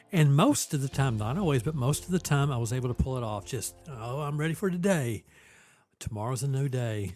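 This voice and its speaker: A man talks at a moderate pace with a medium pitch while music plays behind him. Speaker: university president, podcast host. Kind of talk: podcast interview questions.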